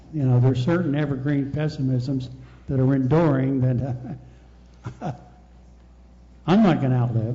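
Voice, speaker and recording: With audible room echo, a man at a medium pitch talks at a moderate pace with fairly even intonation and long, frequent pauses. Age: 70s. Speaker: audience member. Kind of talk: audience comment.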